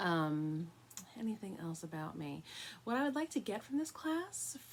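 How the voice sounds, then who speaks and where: A woman with an American accent speaks at a medium pitch, somewhat breathy. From New York, Long Island. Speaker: college professor. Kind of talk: lecture.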